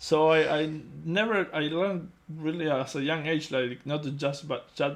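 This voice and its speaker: A man with a non-native accent speaks at a fairly high pitch and a moderate pace, keeping his intonation fairly even. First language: not English. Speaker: digital sculptor. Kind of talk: casual chat.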